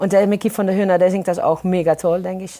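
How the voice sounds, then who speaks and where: The voice belongs to a woman. It is pitched in the medium range. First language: Dutch (Maastricht dialect) (speaking German). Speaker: singer. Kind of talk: interview.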